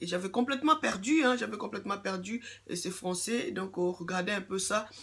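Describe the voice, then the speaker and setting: A woman's voice at a medium pitch. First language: English (speaking French). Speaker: YouTuber giving skin care advice. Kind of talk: casual vlog monologue. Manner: halting, many fillers and repetitions.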